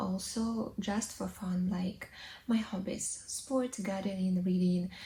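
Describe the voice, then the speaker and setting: A woman speaks at a medium pitch with a somewhat breathy sound. Her pace is very slow, and her pitch variation is ordinary. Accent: Russian. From Russia. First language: Russian. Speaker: English teacher, vlogger. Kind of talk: casual vlog monologue. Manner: hesitant, with fillers.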